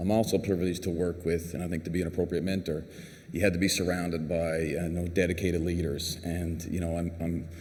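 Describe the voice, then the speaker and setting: A man with a Newfoundland accent talks at a very fast pace in a very deep, low voice. His intonation is monotone and flat, and the room echo is audible. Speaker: clinical pharmacist, award recipient. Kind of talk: award acceptance speech.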